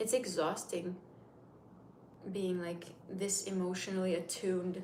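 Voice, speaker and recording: Flat, monotone delivery at a fairly slow pace comes through noticeable background noise and audible room echo. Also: woman, medium pitch for a woman. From Turkey, Istanbul. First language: Turkish. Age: 30s. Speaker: makeup livestreamer. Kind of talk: casual livestream chat. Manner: chatty, rambling.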